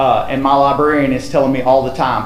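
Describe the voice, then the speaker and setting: A man with a Tennessee accent is heard with audible room echo and noticeable background noise. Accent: Southern US (Tennessee). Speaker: school principal. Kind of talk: presentation at school board meeting.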